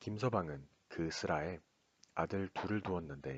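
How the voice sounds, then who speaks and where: Soft-spoken and calm in tone, the voice moves at a fairly slow pace. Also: man. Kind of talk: bedtime story reading. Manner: soft-spoken, calm.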